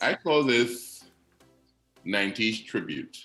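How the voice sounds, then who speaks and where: A man talks with lively intonation while music plays behind him. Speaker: radio personality and announcer. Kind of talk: poetry reading.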